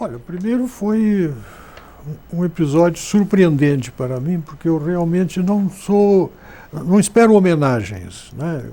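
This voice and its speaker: With a southern Brazilian accent, a man speaks at a fairly slow pace in a high pitch with lively intonation, noticeable background noise behind him. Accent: gaúcho Brazilian Portuguese. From southern Brazil, Rio Grande do Sul frontier (Santana do Livramento). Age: 70s. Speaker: journalist and writer. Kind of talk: interview.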